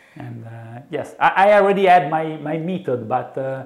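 A man speaks with an Italian accent and ordinary pitch variation. The background is quiet. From Italy. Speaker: software developer. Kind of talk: interview answer. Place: studio. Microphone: lapel.

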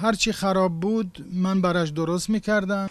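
Noticeable background noise behind a man's fairly slow delivery and ordinary pitch variation. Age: 70s. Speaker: toy repairman. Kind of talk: interview answer.

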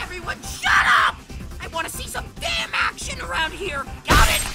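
A cartoonish character voice shouts with big pitch swings and a bright, sharp tone. Faint music sits in the background. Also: moderate pace.

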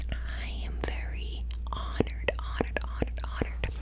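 The voice is soft-spoken. The pace is very slow. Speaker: ASMR creator. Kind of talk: soft ASMR affirmations. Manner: soft, repetitive ASMR voice. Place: home room. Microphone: studio mic.

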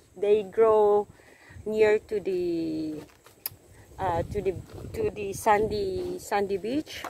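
Speaking at a very slow pace with long, frequent pauses, a woman is heard in a dry sound with no echo over light background noise. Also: ordinary pitch variation. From Philippines. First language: Tagalog. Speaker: vlogger. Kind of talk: casual vlog. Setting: outdoors. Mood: cheerful, laughing. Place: waterside. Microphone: phone near.

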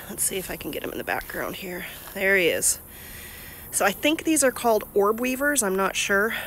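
A woman speaks at a moderate pace with ordinary pitch variation. The sound is dry with no echo, over light background noise. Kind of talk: casual vlog chat. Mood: relaxed, wry humor. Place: garden. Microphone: phone near.

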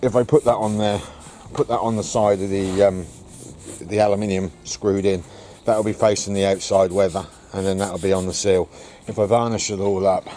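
A man uses a normal speaking voice at a fairly low pitch and a fairly quick pace. The sound is dry with no echo, with light background noise. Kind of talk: casual vlog chat. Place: garden. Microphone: phone near.

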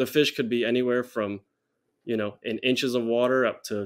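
Monotone, flat delivery from a man at a moderate pace, quiet background behind him. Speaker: podcast guest. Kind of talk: interview answer. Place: home room.

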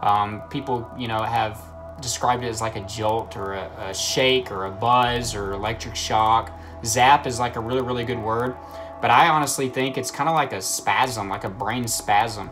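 Over clear music in the background, the speaker talks at a moderate pace with ordinary pitch variation. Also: man. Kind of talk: casual vlog chat. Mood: earnest, sometimes laughing. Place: home room. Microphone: phone near.

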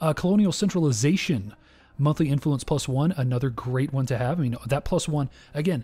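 Speaking at a fairly quick pace, a man with a fairly high pitch sounds somewhat breathy and keeps his loudness very even. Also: ordinary pitch variation. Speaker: gaming youtuber. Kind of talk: let's play commentary. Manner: casual, with frequent filler words.

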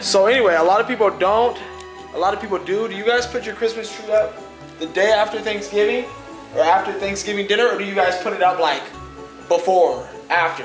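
A high-pitched man speaks at a fairly quick pace with fairly even intonation and long, frequent pauses. Clear music plays in the background, and room echo is audible. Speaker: vlogger. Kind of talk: casual talk to camera, vlog. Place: home room. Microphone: phone near.

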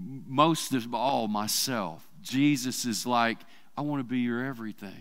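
Speaking at a fairly slow pace with an Arkansas accent, a man uses ordinary pitch variation against a quiet background. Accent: US Southern (Arkansas). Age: 50s. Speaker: church preacher. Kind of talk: sermon. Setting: church service with congregation. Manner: casual, conversational with fillers. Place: church. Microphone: headset.

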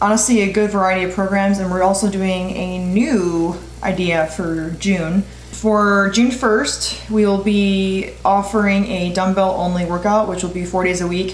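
Audible room echo surrounds the voice. The pace is moderate and the intonation fairly even. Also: woman. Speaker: fitness vlogger. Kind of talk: casual vlog chat. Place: kitchen.

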